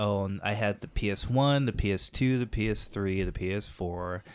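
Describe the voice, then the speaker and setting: An ordinary speaking voice from a man with an American accent, fairly low in pitch, fairly slow and fairly even in intonation, on a very clean recording with a silent background. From England, then Texas. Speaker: comedian and improviser. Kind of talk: casual chat.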